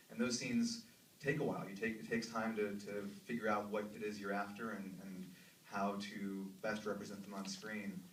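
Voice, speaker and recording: Fairly even intonation carries a man's fairly low voice through audible room echo and noticeable background noise. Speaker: film director. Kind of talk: festival Q&A with audience. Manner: halting, many fillers.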